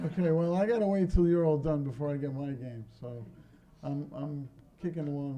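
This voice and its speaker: In a Brooklyn accent, a man talks at a fairly quick pace with a fairly high pitch, ordinary pitch variation and a dark, mellow tone. Audible room echo fills the recording. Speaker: pinball company owner. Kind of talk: convention talk to audience. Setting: stage with audience. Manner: casual, joking.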